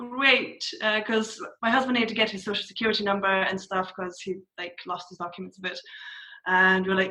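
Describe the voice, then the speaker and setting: Her tone is bright and sharp. The woman speaks at a fairly quick pace. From Scotland. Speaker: conversion copywriter. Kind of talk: interview.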